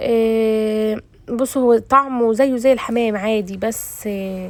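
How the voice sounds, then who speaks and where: Her voice, a woman's with an Egyptian accent, is fairly high in pitch with fairly even intonation. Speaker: cooking vlogger. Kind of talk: casual cooking vlog. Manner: casual and chatty.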